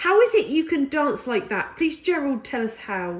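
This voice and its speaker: A woman puts on a character voice, high-pitched with very wide pitch swings. She talks at a moderate pace. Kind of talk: bedtime story. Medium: read story.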